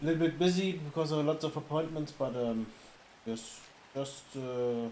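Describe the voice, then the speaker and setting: A man speaks with a German accent and ordinary pitch variation. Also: moderate pace. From Germany. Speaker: streamer. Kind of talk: casual livestream chat. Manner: halting, with fillers.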